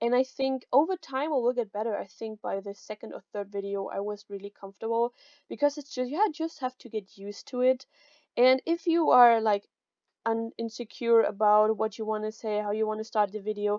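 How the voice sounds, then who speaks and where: In a German accent, a woman talks at a fairly quick pace with a fairly high pitch, ordinary pitch variation and a dark, mellow tone, the sound dry and close with no echo against a quiet background. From Germany. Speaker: YouTuber. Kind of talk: tutorial. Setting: home recording. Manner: casual. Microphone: new mic.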